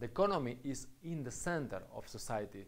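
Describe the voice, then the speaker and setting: Room echo is audible around a man speaking. His fairly high voice has lively intonation. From Spain (Catalonia). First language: Spanish or Catalan. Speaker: university lecturer. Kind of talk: lecture. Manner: halting, with fillers.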